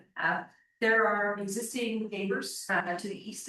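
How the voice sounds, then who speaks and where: Audible room echo surrounds a woman's voice. She speaks at medium pitch and a fairly quick pace. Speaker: planning consultant for applicant. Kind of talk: presentation at council meeting.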